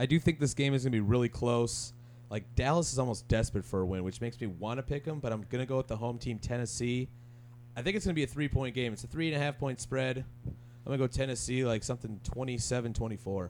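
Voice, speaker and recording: A very fast male voice at medium pitch, with pitch varying in an ordinary way. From Minnesota. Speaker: podcast co-host. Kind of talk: casual chat.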